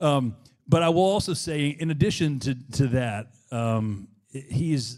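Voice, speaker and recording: A medium-pitched man with a slight Alabama accent, an animated tone and ordinary pitch variation, on a very clean recording with a silent background. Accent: slight Southern (Alabama). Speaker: event presenter. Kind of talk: event introduction.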